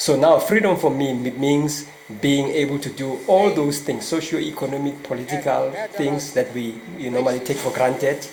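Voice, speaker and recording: Over noticeable background noise and audible room echo, a man with a fairly high pitch talks at a moderate pace with fairly even intonation. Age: 60s. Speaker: politics professor. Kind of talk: interview.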